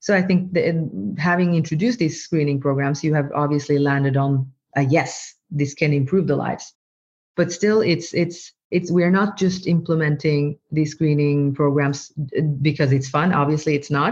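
A woman's very deep, low voice in a Norwegian accent, with ordinary pitch variation and very even loudness. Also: moderate pace. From Norway. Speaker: medical doctor and AI researcher. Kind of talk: interview.

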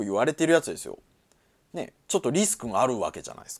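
A man's voice with a dry, close sound and no echo. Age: 40s. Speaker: podcast host. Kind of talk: solo casual talk.

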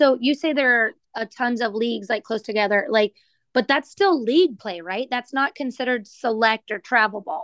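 Over a quiet background with a dry, close sound and no echo, a woman with an American accent speaks at a fairly high pitch and moderate pace with lively intonation. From Texas. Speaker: softball coach and podcast co-host. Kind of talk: casual chat.

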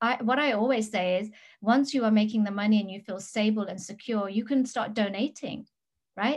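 Against a quiet background, a woman talks at a fairly quick pace in a somewhat breathy voice. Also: fairly high pitch for a woman. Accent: English. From England. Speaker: business mentor. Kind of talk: interview. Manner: animated.

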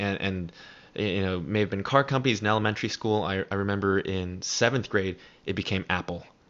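This is a man with an American accent. His pitch sits fairly low. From US West Coast, San Francisco Bay Area. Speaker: startup founder and CEO. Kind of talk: casual interview.

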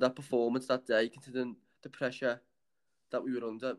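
This man talks very fast at a medium pitch. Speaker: podcast co-host. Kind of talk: casual chat.

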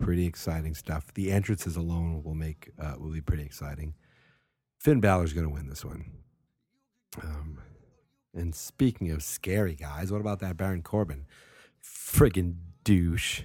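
A man speaks at a moderate pace in a very deep, low, dark and mellow voice, somewhat breathy, with ordinary pitch variation and long, frequent pauses, on a very clean recording with a silent background. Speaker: wrestling podcast host. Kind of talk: casual solo podcast talk. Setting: home at night. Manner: rambling, many fillers.

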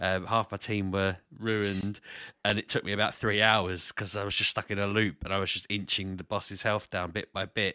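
With a British accent and a bright, sharp tone, a man speaks at a moderate pace in monotone, flat intonation, in a very clean recording with a silent background and a dry, close sound with no echo. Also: fairly low pitch for a man. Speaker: podcast co-host and gamer. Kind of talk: casual chat.

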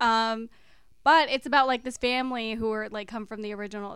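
Using an ordinary speaking voice, a woman talks at a fairly quick pace. Her pitch varies in an ordinary way. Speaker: podcast co-host. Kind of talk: casual chat.

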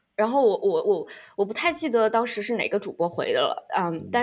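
A woman at a very fast pace. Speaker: podcast host. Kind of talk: casual chat.

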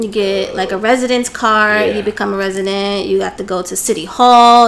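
In a normal speaking voice, a woman talks fairly quickly with an American accent. Her pitch is medium and her intonation fairly even. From New Jersey. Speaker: English teacher in Japan. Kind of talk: casual chat. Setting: studio.

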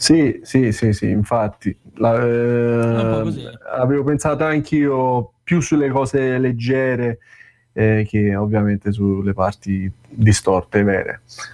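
Speaking very slowly, a man uses a medium pitch and a dark, mellow tone, with ordinary pitch variation. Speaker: guitarist asking questions. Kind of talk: casual chat.

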